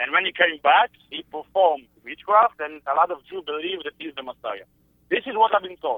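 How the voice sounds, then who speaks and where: A man with an Israeli accent speaks at a moderate pace in a high pitch. His intonation is lively and his loudness swings widely. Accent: Israeli Hebrew-accented English. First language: Hebrew. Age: 20s. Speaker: caller. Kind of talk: call-in conversation. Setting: phone call. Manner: halting, searching for words.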